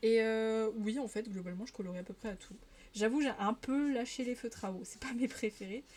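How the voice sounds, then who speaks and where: A woman's fairly high voice at a moderate pace, fairly even in intonation, with music in the background. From Paris region, France. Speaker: streamer. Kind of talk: casual live-stream chat while colouring. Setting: live stream.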